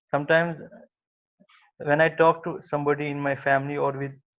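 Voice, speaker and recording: A man speaks at a moderate pace. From Kashmir, India. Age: 20s. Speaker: speech contest participant. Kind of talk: prepared speech. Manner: halting, with blocks and repetitions.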